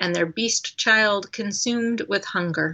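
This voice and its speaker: In an American accent, a woman talks in an unremarkable speaking voice at medium pitch, with ordinary pitch variation and a fairly slow pace. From Colorado, US. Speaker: poet. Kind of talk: poetry reading.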